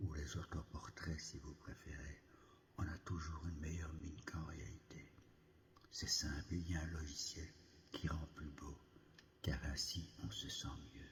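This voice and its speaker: A man whispering with vocal fry, fairly slow, long frequent pauses. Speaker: novelist. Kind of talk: ASMR reading of a personal reflective text. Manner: whispered.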